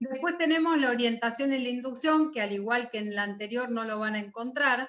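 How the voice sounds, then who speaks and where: A woman's high-pitched voice at a fairly quick pace with ordinary pitch variation. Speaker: university lecturer. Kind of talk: lecture.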